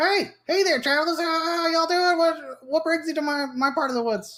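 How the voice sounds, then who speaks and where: In a put-on character voice, someone speaks at a moderate pace with an extremely high pitch. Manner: friendly, welcoming, chatty.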